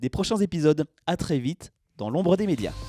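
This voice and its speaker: With a dark, mellow tone and very wide pitch swings, a man speaks at a moderate pace in a dry, close sound with no echo. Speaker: interviewer and channel host. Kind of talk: video outro.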